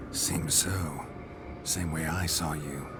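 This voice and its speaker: A man's cartoonish character voice with a very deep, low pitch over loud background noise. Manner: laconic, dry.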